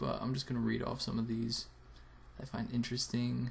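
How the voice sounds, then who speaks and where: The pace stays moderate. The speaker is a man. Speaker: video blogger. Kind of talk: casual vlog. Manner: quiet, keeping voice down.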